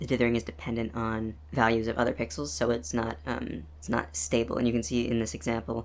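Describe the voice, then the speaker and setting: A man speaks at a fairly quick pace with lively intonation. His pitch sits in the medium range. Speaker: game developer. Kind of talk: casual devlog narration. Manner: fast, hesitant with many fillers.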